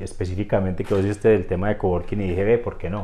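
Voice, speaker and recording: A man with an Antioquian accent speaks in a fairly low pitch. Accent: Colombian paisa (Antioquia). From Colombia, Antioquia (Rionegro). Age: 40s. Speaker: business consultant. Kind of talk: interview. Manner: hesitant, many fillers.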